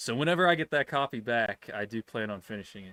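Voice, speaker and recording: Recorded very cleanly with a silent background and a dry, close sound with no echo, a man talks fairly quickly in a bright, sharp tone. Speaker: gaming streamer. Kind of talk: live stream chat. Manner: stutters, loses track of words; rambling, halting.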